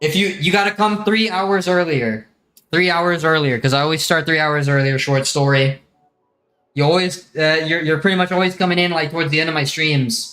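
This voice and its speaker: Over music in the background, a man with an American accent talks at a moderate pace in a fairly high pitch, with ordinary pitch variation and very even loudness. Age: 20s. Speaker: gaming streamer. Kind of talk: casual live stream chat. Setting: live stream. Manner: casual.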